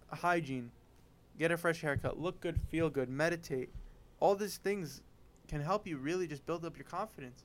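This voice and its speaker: Speaking at a moderate pace, a man with a high pitch leaves long, frequent pauses. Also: ordinary pitch variation. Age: 20s. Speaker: podcast host. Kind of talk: casual chat.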